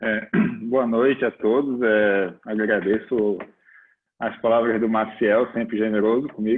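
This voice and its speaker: At a fairly slow pace, a man talks at medium pitch with monotone, flat intonation. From Recife, Pernambuco, northeastern Brazil. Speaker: judge. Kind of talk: formal presentation. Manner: hesitant fillers.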